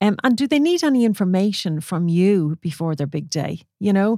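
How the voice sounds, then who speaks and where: A woman with an Irish accent speaks at medium pitch and a moderate pace with lively intonation, in a very clean recording with a silent background and dry, close sound with no echo. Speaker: wedding photographer and podcast host. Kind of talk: casual solo podcast talk. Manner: conversational with many fillers.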